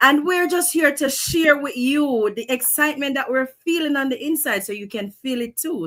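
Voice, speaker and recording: Speaking in a Jamaican accent, a woman with a high pitch moves at a moderate pace with very wide pitch swings and hardly any pauses. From Montego Bay, Jamaica. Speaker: online business owner. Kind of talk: live stream introduction.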